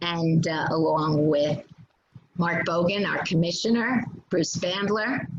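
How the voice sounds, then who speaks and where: Audible room echo carries a woman's fairly low-pitched voice. She speaks at a very slow pace with ordinary pitch variation. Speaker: community council leader hosting town hall. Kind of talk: formal introduction.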